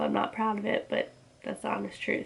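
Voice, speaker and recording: A woman speaks over noticeable background noise. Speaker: lifestyle vlogger. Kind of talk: casual vlog monologue.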